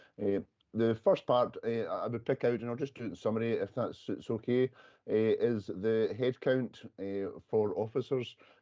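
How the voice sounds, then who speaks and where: With a Scottish accent, a man speaks at a medium pitch and a moderate pace. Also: fairly even intonation. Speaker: police workforce official. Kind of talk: committee meeting report. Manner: halting.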